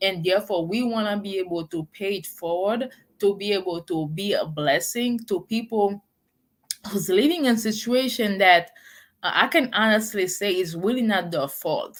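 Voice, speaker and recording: A woman with a strong Haitian accent speaks at medium pitch and a moderate pace, with ordinary pitch variation, in a very clean recording with a silent background. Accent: thick Haitian. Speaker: non-profit founder. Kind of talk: live motivational talk. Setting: live stream. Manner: halting, many fillers.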